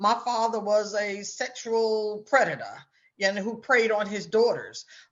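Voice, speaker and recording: A woman with a normal speaking voice talks in a fairly high pitch. She goes at a fairly slow pace with fairly even intonation. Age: 60s. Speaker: author and influencer. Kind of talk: interview.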